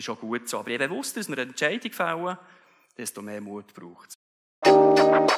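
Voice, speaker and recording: Over music in the background, a man speaks with very wide pitch swings and big swings in loudness. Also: moderate pace. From Switzerland. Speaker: keynote speaker. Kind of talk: motivational keynote speech. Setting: live event venue. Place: stage. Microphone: headset.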